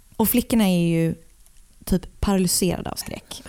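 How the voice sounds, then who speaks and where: A woman is whispering. Her pace is moderate. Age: 30s. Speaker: true crime podcast co-host. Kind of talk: casual true crime storytelling.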